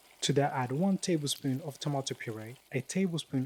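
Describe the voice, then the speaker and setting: With lively intonation and a fairly high pitch, a man speaks at a fairly quick pace, somewhat breathy, in a dry, close sound with no echo. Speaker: home cook, cooking show host. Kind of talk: cooking tutorial voice-over. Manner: casual, jokey.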